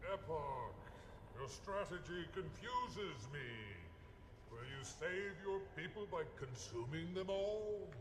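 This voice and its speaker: Using a put-on character voice at a high pitch, a man speaks at a fairly slow pace with long, frequent pauses over loud background noise. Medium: machinima. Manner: measured, solemn.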